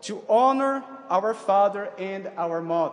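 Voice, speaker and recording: Over noticeable background noise, a man speaks with a non-native accent. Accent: foreign accent, non-native. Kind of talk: sermon. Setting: church. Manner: formal.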